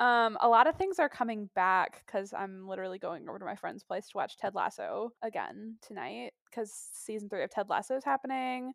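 Lively intonation marks this woman's fairly high-pitched delivery at a moderate pace. She has an unremarkable speaking voice. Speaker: guest co-host. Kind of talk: casual chat.

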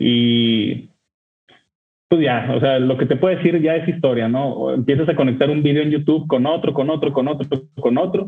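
A man talks in an unremarkable speaking voice at a fairly high pitch. His pace is moderate and his pitch variation ordinary. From northern Mexico, Torreón. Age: 30s. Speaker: whisky enthusiast. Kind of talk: storytelling.

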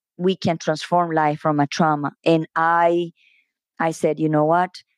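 The sound is dry and close, with no echo and a quiet background. A woman speaks at a fairly low pitch. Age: 50s. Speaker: podcast host. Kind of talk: casual interview. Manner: halting.

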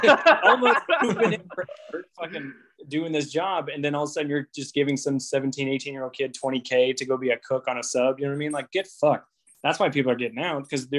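Talking at a fairly quick pace, a man has an unremarkable speaking voice in an American accent. His pitch is fairly high with ordinary variation. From Indiana. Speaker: navy recruiter. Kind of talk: casual chat.

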